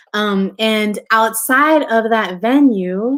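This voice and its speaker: With a Spanish accent, a woman talks at a fairly high pitch and uses ordinary pitch variation. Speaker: photographer and book publisher. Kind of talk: interview conversation. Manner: casual, filler-heavy.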